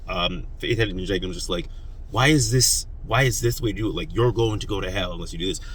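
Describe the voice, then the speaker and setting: Audible room echo follows a man talking at a very fast pace with ordinary pitch variation. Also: medium pitch for a man. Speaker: YouTuber talking philosophy and politics. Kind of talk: casual monologue.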